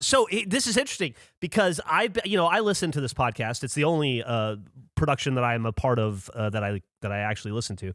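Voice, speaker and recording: Animated in tone, a man talks at a very fast pace with very wide pitch swings. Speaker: podcast host. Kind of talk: casual chat. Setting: remote podcast recording from home. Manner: loud.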